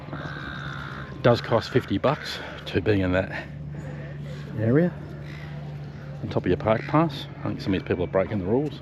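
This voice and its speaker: A man with an Australian accent and a fairly low pitch makes very wide pitch swings, taking long, frequent pauses amid noticeable background noise. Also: moderate pace. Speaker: travel vlogger. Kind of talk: casual vlog narration. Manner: whispering.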